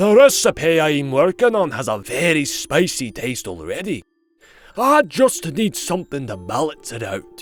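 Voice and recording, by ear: A man's put-on character voice, booming and fairly high-pitched, with very wide pitch swings at a moderate pace over faint background music.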